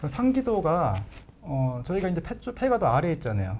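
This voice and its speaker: Lively intonation from a man, delivered at a fairly quick pace. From Chungcheong, Korea. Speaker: pulmonologist, professor. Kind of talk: live Q&A, medical explanation. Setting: live broadcast. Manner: hesitant fillers, conversational.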